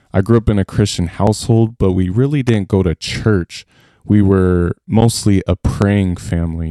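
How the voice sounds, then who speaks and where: A man with an American accent, very deep and low in pitch, dark and mellow in tone, fairly even intonation, dry and close with no echo on a very clean recording with a silent background. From Colorado. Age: 20s. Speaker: mission team leader. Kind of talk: testimony.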